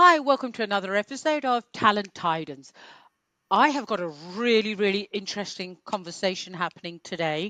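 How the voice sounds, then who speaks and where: Medium in pitch, a woman's bright, sharp voice moves at a moderate pace with very wide pitch swings in a dry, close sound with no echo and a quiet background. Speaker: podcast host. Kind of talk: podcast intro and interview questions.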